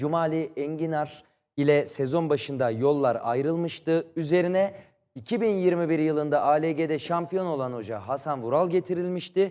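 The man's tone is dark and mellow, with a fairly high pitch. He speaks at a fairly slow pace with ordinary pitch variation. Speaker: football commentator. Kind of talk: TV talk show. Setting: TV studio.

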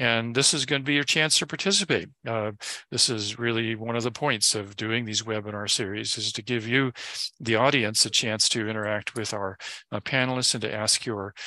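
A man with a medium-pitched, bright and sharp voice talks at a moderate pace, the sound dry with no echo and the background quiet. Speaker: webinar moderator. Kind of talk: moderating a panel. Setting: video call. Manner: halting. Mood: calm, procedural. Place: home room. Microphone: headset.

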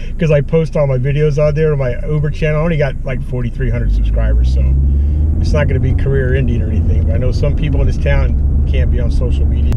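Against loud background noise, a man talks at a very fast pace, the sound dry with no echo. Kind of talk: casual vlog chat. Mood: friendly, upbeat. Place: car. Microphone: camera far.

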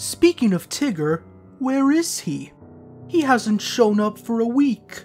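A female-sounding voice performs a put-on character at a fairly high pitch and a fairly slow pace. Clear music plays in the background. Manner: soft, mild, fretful.

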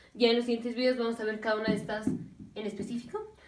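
Monotone, flat intonation with audible room echo. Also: woman. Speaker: medical teacher. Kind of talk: lecture. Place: home room. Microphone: camera far.

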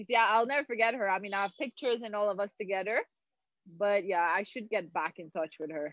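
Over a quiet background, a woman speaks very fast with ordinary pitch variation, the sound dry with no echo. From Haiti. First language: French. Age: 30s. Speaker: former pro tennis player and Olympian. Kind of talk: casual interview. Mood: warm, reminiscing. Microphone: video call.

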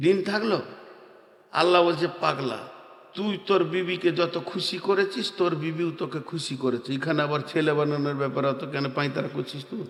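A man with a fairly high pitch and ordinary pitch variation speaks amid noticeable background noise and audible room echo. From India, Bardhaman, West Bengal. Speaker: Islamic preacher. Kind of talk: sermon. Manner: animated.

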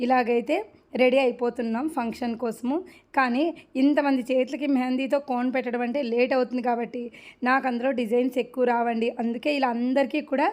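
A high-pitched woman's voice with monotone, flat intonation. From Anantapur, Andhra Pradesh. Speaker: vlogger. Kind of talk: vlog narration.

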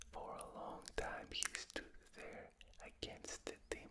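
A man whispering in a gentle tone at a very slow pace, with a strong non-native accent. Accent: non-native, thick. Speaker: ASMR reader. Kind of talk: ASMR book reading. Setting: binaural recording. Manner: whispered; gentle, soft-spoken. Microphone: studio mic.

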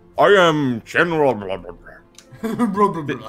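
With faint music in the background, a man performs a put-on character voice at a fairly high pitch. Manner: mock-serious.

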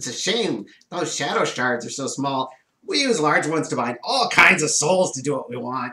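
At a moderate pace, this put-on character voice carries the lines. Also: man, fairly high pitch for a man. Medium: actual play. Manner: contemptuous, mocking.

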